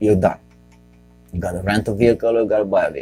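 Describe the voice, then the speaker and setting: A man's medium-pitched voice with a Romanian accent, music playing in the background. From Romania, Bucharest. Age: 40s. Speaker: podcast host and comedian. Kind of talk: casual comedic podcast monologue. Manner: halting, self-correcting.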